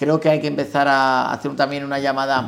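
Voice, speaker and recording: A man talks at a fairly quick pace and medium pitch. Background noise is noticeable. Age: 30s. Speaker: criminal lawyer and bar election candidate. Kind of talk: interview.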